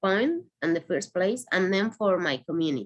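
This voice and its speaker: Her voice is medium in pitch for a woman. The intonation is lively. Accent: Spanish. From Venezuela. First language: Spanish. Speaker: asylum seeker and activist. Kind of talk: personal testimony. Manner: halting.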